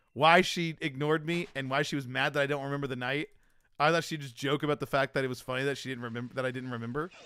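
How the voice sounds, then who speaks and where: A man talks with a fairly high pitch, ordinary pitch variation and an animated, bright, sharp tone. The recording is very clean with a silent background. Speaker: streamer. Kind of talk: casual chat.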